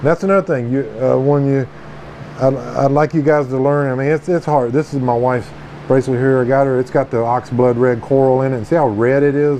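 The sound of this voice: A man talks at a fairly quick pace in a dark, mellow tone with fairly even intonation. Faint background noise can be heard. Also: medium pitch for a man.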